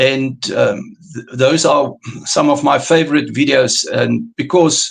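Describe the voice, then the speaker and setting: Someone with a South African accent speaks at a very slow pace. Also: man. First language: Afrikaans. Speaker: carnivore diet coach. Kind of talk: interview. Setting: live stream. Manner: halting.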